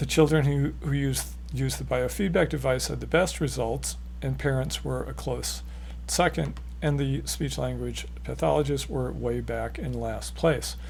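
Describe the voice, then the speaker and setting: Vocal fry marks a man's very deep, low voice, delivered at a moderate pace with monotone, flat intonation. There is audible room echo. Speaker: author and educator on stuttering therapy. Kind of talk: educational talk. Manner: repetitions and slight disfluencies.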